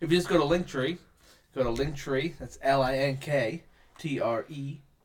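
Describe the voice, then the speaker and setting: Here is a man with a normal speaking voice. His pitch sits fairly high and varies in an ordinary way. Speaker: podcast host. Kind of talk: casual chat. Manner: joking, playful.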